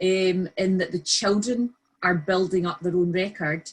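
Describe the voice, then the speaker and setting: A woman's somewhat breathy, medium-pitched voice with a Scottish accent, at a fairly slow pace. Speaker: early years practitioner. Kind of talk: webinar discussion.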